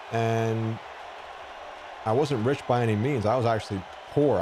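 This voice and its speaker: A man with an American accent at a medium pitch, ordinary pitch variation, and noticeable background noise. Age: 40s. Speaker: gaming streamer. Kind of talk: casual chat.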